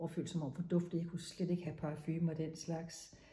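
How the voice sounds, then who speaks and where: A woman's fairly low, somewhat breathy voice with a dark, mellow tone and audible room echo. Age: 60s. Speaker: menopause speaker sharing personal experience. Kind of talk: personal talk to camera. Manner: halting.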